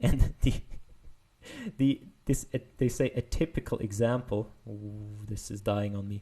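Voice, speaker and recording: A man's dark, mellow, somewhat breathy voice at a fairly slow pace, with fairly even intonation and long, frequent pauses. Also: fairly low pitch for a man, big swings in loudness. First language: not English. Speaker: machine learning paper explainer. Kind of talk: technical explainer video. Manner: casual, hesitant with fillers.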